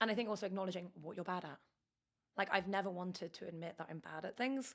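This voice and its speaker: The speaker talks at a very fast pace in a London accent, with ordinary pitch variation. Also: woman, medium pitch for a woman. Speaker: startup founder. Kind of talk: interview. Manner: loud.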